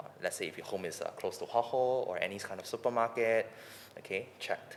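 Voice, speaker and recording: This man speaks fairly quickly, with noticeable background noise behind him. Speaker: property financing co-host. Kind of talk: explanatory podcast chat.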